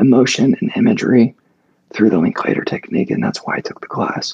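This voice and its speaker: A strained, breathy man's voice. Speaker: podcast guest sharing health story. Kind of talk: casual chat. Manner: halting.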